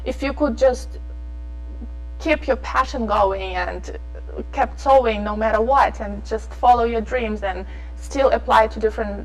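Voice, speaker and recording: Woman speaking at a moderate pace, with music in the background. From abroad, non-English-speaking country. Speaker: fashion designer. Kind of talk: interview. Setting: studio. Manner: animated.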